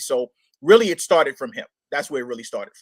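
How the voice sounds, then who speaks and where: A man talks in a New York accent. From Brooklyn, New York. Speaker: hip-hop artist. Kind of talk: interview. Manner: halting, many fillers.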